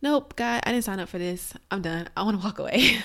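This is a plain, everyday voice from a woman with an American accent. She talks at a fairly quick pace and medium pitch, with ordinary pitch variation. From Alexandria, Virginia. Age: young. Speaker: domestic abuse survivor. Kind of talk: testimony.

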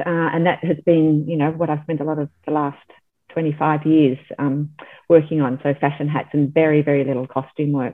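A woman speaks with a very deep, low pitch in a monotone, flat delivery. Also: moderate pace. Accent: Australian. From Australia, Melbourne. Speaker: milliner. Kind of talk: interview. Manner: hesitant, many fillers.

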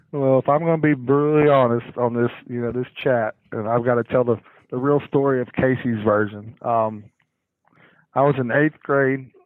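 With fairly even intonation, a man keeps to a moderate speed. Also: medium pitch for a man. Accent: Southern US. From US South, Cherokee County, Georgia. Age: 40s. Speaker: high school football head coach. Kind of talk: casual interview chat. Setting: phone call.

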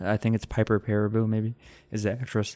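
A man with a Texas accent talks at a fairly low pitch on a very clean recording with a silent background. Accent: mild Texas. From rural Texas. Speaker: podcast host. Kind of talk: casual chat.

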